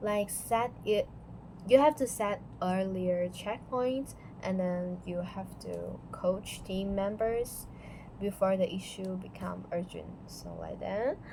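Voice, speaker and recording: Speech comes at a very slow pace with a non-native accent. Its loudness rises and falls sharply. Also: woman. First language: not English. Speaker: student. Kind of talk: class presentation. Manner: halting.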